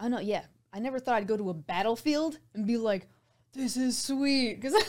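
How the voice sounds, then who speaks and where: A woman speaks at a moderate pace in an unremarkable speaking voice, fairly high in pitch, with ordinary pitch variation. The recording is very clean, with a silent background. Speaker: voiceover artist and actor. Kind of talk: casual interview chat. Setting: studio.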